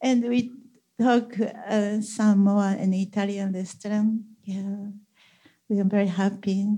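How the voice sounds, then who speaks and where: Speaking at a fairly slow pace with long, frequent pauses, a woman with a Japanese accent has a medium pitch, a somewhat breathy, dark, mellow tone and monotone, flat intonation. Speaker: church member sharing testimony. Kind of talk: testimony.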